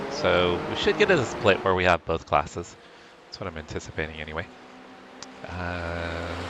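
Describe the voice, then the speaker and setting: Noticeable background noise sits under speech that has big swings in loudness and long, frequent pauses. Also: man, very deep, low pitch for a man, ordinary pitch variation, moderate pace. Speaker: sim racing streamer. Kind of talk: live stream commentary. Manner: casual, conversational.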